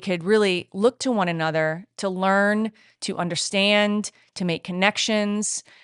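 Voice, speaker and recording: A woman with an American accent and a plain, everyday voice speaks at a medium pitch and fairly slow pace with fairly even intonation, in a dry, close sound with no echo against a quiet background. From US, southern New England. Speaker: head of upper school. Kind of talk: podcast interview.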